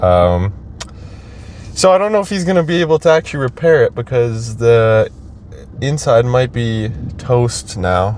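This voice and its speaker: A man's pitch swings very widely, broken by long, frequent pauses. Background noise is noticeable. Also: medium pitch for a man, moderate pace. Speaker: travel vlogger. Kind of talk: casual vlog narration. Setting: hotel room. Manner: hesitant with many fillers.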